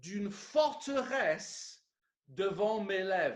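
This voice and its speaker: At a very slow pace, a man speaks in a high pitch with very wide pitch swings. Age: 60s. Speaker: pastor. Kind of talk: sermon.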